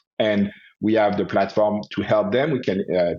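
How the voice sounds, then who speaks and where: A man speaks with a French accent at a moderate pace. His pitch is fairly low and his intonation fairly even. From France, Paris. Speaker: osteopath and health entrepreneur. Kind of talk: interview.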